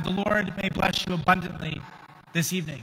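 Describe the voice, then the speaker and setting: A man's raised, projected voice, fairly quick, with fairly even intonation. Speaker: priest leading Mass. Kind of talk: liturgical address. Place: church.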